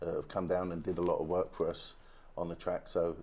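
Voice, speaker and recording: A man speaks at a fairly quick pace with a British accent. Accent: British accent, retained. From UK. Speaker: go-kart racing club president. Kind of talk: TV interview. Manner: hesitant, many fillers.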